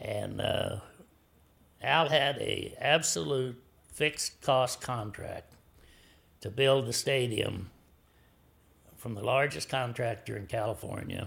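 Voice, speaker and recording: A man talks with an American accent at a very slow pace. He leaves long, frequent pauses. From US Midwest, small-town Kansas. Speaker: businessman, club owner. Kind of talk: interview storytelling.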